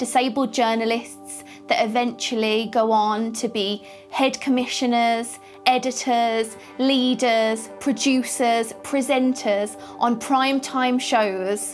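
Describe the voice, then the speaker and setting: Over background music, a woman in a British accent speaks at a very slow pace with a fairly high pitch, fairly even intonation and very even loudness. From United Kingdom. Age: 20s. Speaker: presenter and journalist. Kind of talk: conference speech.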